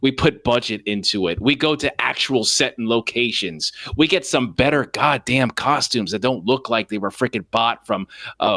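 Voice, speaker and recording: Loud and animated, a man talks at a moderate pace with a bright, sharp tone, medium pitch and ordinary pitch variation in a very clean recording with a silent background. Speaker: podcast co-host. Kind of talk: casual chat.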